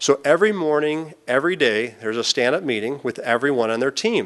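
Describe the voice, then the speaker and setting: Speaking at a fairly quick pace, a man uses lively intonation and a fairly high pitch. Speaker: business executive giving conference talk. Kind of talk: conference presentation. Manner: fast.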